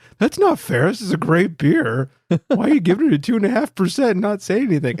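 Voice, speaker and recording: A man puts on a whiny character voice, high in pitch. He talks at a very fast pace. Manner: whiny, complaining.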